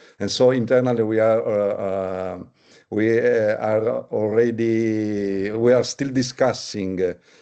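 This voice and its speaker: A man with an Italian accent, fairly low in pitch, dark and mellow in tone, fairly even in intonation, against a quiet background. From Italy. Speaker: labour market analytics executive. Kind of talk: panel discussion. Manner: halting, many hesitations.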